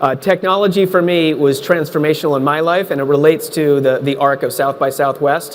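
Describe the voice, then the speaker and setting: A man with a fairly high pitch and fairly even intonation, over noticeable background noise. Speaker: tech consultant, panelist. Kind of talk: panel discussion.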